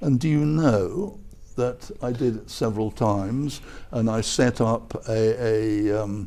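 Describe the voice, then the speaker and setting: A man with an English accent speaks in a dark, mellow tone, and his intonation is lively. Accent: English, somewhat milder. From southern England (Croydon, London). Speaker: retired professor and advertising executive. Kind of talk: interview. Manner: halting, many fillers.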